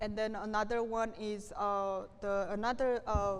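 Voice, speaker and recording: A woman with a Korean accent speaks in a fairly high, monotone voice with flat intonation, and audible room echo surrounds her. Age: 30s. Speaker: refugee activist. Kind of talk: lecture with Q&A. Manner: halting.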